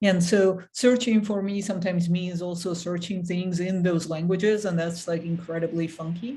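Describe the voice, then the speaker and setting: Hardly pausing, a woman with a fairly low pitch and a dark, mellow, somewhat breathy tone speaks at a moderate pace with fairly even intonation. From Armenia. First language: Armenian. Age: 40s. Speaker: engineering manager, book club organizer. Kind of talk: online discussion hosting.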